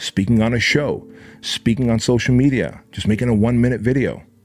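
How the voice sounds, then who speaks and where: There is music behind the speaker, a man. He talks at a moderate pace in a medium pitch. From Armenia, moved to the US as a child. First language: Armenian. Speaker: entrepreneur and business coach. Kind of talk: motivational talk. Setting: podcast. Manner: animated.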